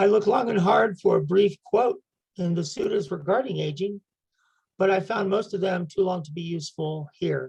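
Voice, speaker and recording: A woman with an American accent speaks at a moderate pace and medium pitch, with ordinary pitch variation, vocal fry and a dark, mellow tone. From United States. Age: 70s. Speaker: community member reader. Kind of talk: personal reflection talk.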